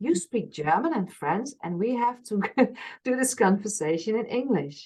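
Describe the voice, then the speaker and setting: Her fairly high voice is somewhat breathy and swings very widely in pitch. The woman keeps a moderate pace. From Friesland, northern Netherlands. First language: Frisian. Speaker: workshop organizer. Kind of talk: interview. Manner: halting.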